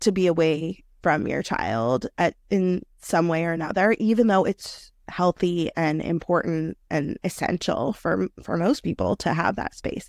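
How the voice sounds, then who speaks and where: With an American accent and an unremarkable speaking voice, a woman talks at a fairly slow pace and fairly low pitch with lively intonation, the sound dry and close with no echo on a very clean recording with a silent background. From New York City. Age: 30s. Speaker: career coach. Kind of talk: interview.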